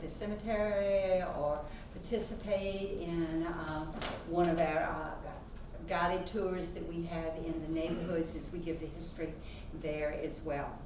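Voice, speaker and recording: The recording has audible room echo and noticeable background noise. A woman speaks fairly slowly in a fairly low pitch. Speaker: museum president introducing a speaker. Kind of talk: formal introduction speech. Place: classroom.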